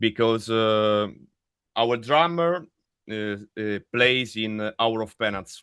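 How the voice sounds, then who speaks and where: Speaking very slowly, a man with an Italian accent uses a medium pitch and ordinary pitch variation. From Italy. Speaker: death metal vocalist. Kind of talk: interview. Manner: halting.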